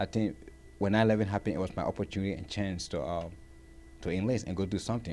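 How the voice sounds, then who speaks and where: Talking at a very fast pace, a man with a fairly low pitch has a dark, mellow tone. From Liberia. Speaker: war veteran. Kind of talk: interview.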